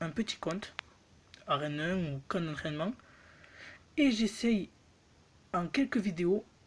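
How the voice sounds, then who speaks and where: Against noticeable background noise, a woman speaks fairly slowly with lively intonation. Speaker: mobile gaming youtuber. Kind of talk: gameplay commentary, pack opening.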